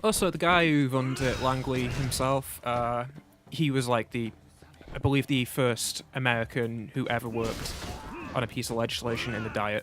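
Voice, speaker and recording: A man keeps a moderate pace and fairly even intonation while noticeable background noise plays behind him. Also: medium pitch for a man. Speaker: let's play gamer co-host. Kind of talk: casual chat. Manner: hesitant, many fillers.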